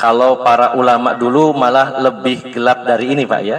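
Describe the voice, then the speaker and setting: A man speaks at a medium pitch and a fairly slow pace. His intonation stays fairly even over noticeable background noise. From West Java (Sundanese). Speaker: Islamic preacher. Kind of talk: religious study lecture. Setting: religious gathering in a home, power outage.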